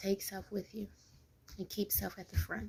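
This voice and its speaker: A woman speaks softly at a moderate pace. Her pitch sits in the medium range. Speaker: mom and business owner vlogger. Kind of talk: informal talking-head vlog. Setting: at home, early morning. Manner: quiet, soft-spoken; informal, many fillers.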